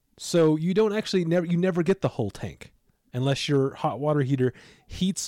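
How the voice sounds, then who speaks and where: A man with a normal speaking voice talks with lively intonation in a dry, close sound with no echo. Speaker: podcast co-host. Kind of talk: casual chat.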